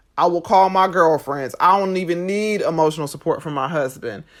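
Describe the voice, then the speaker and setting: At a moderate pace, a woman with an ordinary speaking voice talks at a fairly low pitch with ordinary pitch variation, on a very clean recording with a silent background. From USA, Jamaican family. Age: 30s. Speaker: podcast host. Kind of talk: podcast monologue. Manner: conversational.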